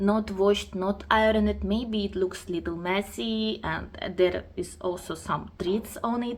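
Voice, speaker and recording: A woman's medium-pitched voice, very slow, with ordinary pitch variation. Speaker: craft vlogger. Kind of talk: casual show-and-tell vlog. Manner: halting, with self-corrections.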